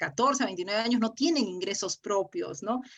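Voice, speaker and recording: A woman is speaking. Her pitch sits fairly high. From Peru, Áncash (San Marcos, Huari). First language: Quechua (speaking Spanish). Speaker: politician. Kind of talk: interview. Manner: halting, many repetitions.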